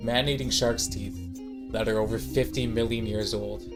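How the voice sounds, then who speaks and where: Over music in the background, a man speaks at a moderate pace with a fairly low pitch. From Canada. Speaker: student. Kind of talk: class presentation narration. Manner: casual, wry.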